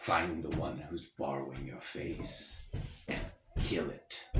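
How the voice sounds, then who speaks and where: A man puts on a character voice with a very deep, low pitch. He delivers it at a very slow pace. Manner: terrible, ominous.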